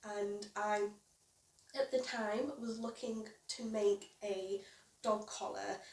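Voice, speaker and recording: A woman with a British accent and a fairly high pitch, at a very slow pace with fairly even intonation and long, frequent pauses. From UK. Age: 20s. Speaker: crochet YouTuber and small business owner. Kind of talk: casual vlog introduction. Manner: casual, with fillers.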